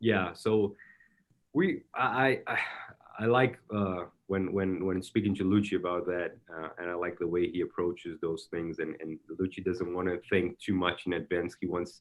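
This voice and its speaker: Fairly even intonation marks this speech in a Brazilian accent. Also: man, very deep, low pitch for a man, moderate pace. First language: Portuguese. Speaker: soccer technical director. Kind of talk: interview. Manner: halting, many repetitions.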